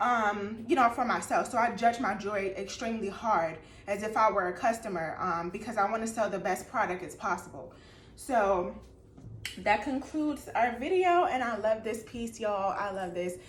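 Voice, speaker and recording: A woman with a fairly high voice speaks at a fairly quick pace with lively intonation, and audible room echo surrounds her. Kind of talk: casual tutorial vlog. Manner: casual, halting with fillers.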